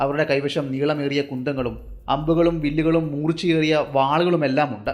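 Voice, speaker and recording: A man's fairly high-pitched voice in monotone, flat intonation, against noticeable background noise. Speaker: storyteller. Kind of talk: hunting story narration.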